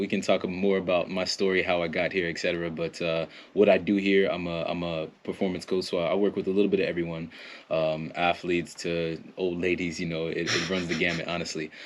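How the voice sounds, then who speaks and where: A man with an American accent has a very deep, low pitch. He talks at a fairly quick pace against a quiet background. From US (Florida, then Ohio). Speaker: performance coach. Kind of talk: podcast interview. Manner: halting, many fillers and restarts; energetic.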